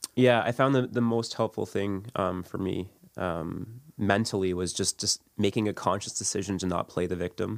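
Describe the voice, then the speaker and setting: Delivered in an unremarkable speaking voice with a Canadian accent, the speech has fairly even intonation and a moderate pace. The recording is very clean and silent in the background, with a dry, close sound and no echo. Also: man, fairly low pitch for a man. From Ontario, Canada (St. Catharines). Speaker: church member and father. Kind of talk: personal testimony interview.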